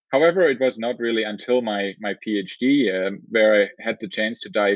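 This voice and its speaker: A man with a German accent speaks at a fairly quick pace in a fairly low pitch with ordinary variation. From southern Germany. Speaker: engineering professor. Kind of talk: interview.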